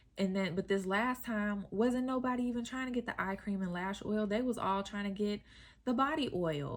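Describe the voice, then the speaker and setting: A woman's unremarkable speaking voice at a medium pitch, with ordinary pitch variation and a moderate pace. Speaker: skincare business owner and coach. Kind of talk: casual tutorial vlog.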